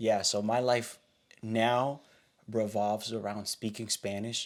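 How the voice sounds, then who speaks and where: A man's flat, monotone delivery at a fairly slow pace, in an American accent. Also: medium pitch for a man. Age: young. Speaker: pastor and podcast co-host. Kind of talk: casual chat.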